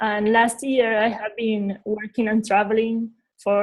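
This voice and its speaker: A woman speaks fairly slowly in a somewhat breathy voice, fairly high in pitch, with monotone, flat intonation. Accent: Uruguayan. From Uruguay. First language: Spanish. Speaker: visual designer. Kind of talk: interview. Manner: halting.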